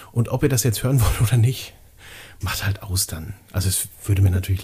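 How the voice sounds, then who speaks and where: Speaking fairly quickly, a man uses a fairly low, somewhat breathy voice with a dark, mellow tone. His pitch variation is ordinary. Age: 30s. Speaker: podcast co-host. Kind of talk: casual chat.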